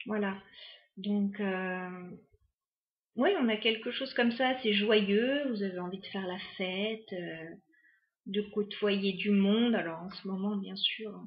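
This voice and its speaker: Speaking at a very slow pace with long, frequent pauses, a woman uses a medium pitch, fairly even intonation and a somewhat breathy voice. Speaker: tarot card reader. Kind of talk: tarot reading to camera. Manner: hesitant, many fillers.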